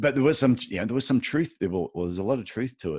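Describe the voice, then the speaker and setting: A man with an Australian accent and lively intonation. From Australia, Queensland. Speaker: podiatrist and podcast host. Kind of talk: interview. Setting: remote call.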